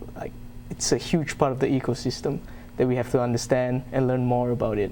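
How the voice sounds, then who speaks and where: With noticeable background noise behind him, a man speaks in a monotone, flat intonation at a medium pitch. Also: fairly quick pace. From Malaysia. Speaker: university student. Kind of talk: interview.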